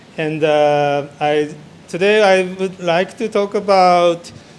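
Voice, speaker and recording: There is noticeable background noise. Through it, a man speaks with ordinary pitch variation. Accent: Japanese. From Japan. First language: Japanese. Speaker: architect and interior designer. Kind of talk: conference presentation. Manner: halting.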